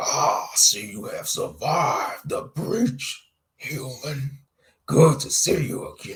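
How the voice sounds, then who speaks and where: A man speaks in a raspy put-on character voice at a very slow pace. His loudness swings widely. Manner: menacing, mocking.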